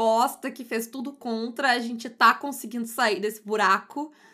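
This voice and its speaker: With fairly even intonation, a woman speaks in a fairly high pitch and a bright, sharp tone. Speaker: podcast co-host, tabletop RPG. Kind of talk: casual chat. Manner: louder in everyday speech than co-host.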